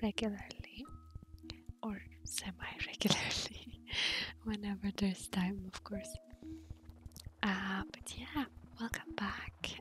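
A woman's whisper at a very slow pace, broken by long, frequent pauses. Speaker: gaming ASMR creator. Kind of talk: gaming ASMR ramble. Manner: soft-spoken. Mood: friendly, smiling. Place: home room. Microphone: studio mic.

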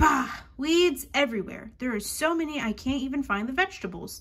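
A woman does a put-on character voice with growling. It sits high in pitch and moves at a fairly quick pace. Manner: growling, grumpy.

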